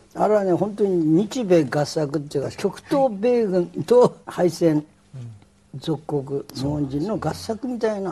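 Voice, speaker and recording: A man speaks at a fairly slow pace in a high pitch. His pitch swings very widely. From Japan, Hokkaido. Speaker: talk show host, social critic; talk show host. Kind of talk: discussion. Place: studio. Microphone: lapel.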